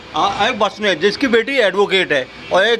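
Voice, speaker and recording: A man speaks in a raised, projected voice at a moderate pace, his pitch high with ordinary variation, over noticeable background noise. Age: 60s. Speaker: human rights activist. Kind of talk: street interview.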